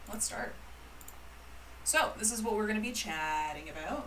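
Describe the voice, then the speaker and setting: With a Canadian accent, a woman talks over noticeable background noise, and audible room echo surrounds her voice. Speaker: calligrapher and business teacher. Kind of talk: live-streamed presentation. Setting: livestream with online chat. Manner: casual, chatty with many fillers.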